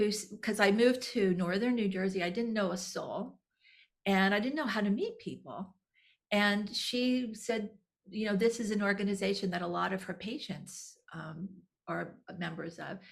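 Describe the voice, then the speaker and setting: Somewhat breathy and medium in pitch, a woman speaks at a moderate pace with ordinary pitch variation. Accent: American. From Texas. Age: 60s. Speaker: nonprofit executive director. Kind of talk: interview. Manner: halting, many repeated words.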